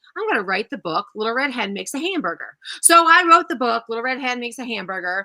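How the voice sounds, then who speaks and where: A woman talks loud and very fast in a high, bright, sharp voice. Her tone is animated, with very wide pitch swings. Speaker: first-grade teacher. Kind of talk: casual chat.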